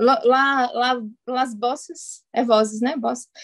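A woman in a Portuguese accent talks in a high pitch with fairly even intonation. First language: Portuguese (speaking Spanish). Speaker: Spanish learner. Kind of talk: casual chat.

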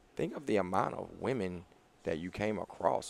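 Vocal fry runs through the voice. The speaker is a man. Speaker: podcast host. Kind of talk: casual chat. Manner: fast talker.

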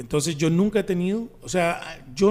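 Audible room echo surrounds a man speaking in a Costa Rican accent. His voice is fairly high in pitch with a dark, mellow tone. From Costa Rica, Desamparados. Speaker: comedian. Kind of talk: casual chat.

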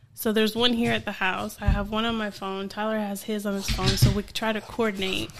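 A woman with an American accent, fairly quick and monotone in flat intonation, over noticeable background noise. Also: medium pitch for a woman. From New Jersey. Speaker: barbecue caterer. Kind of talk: casual chat. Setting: in person at her home.

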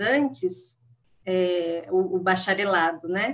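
Her pace is very slow. The woman's intonation is lively. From interior of São Paulo state, Jundiaí region. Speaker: psychology professor. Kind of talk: interview.

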